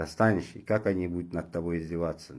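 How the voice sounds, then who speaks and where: A man's dark, mellow tone at a moderate pace. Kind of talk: moralizing monologue. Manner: animated.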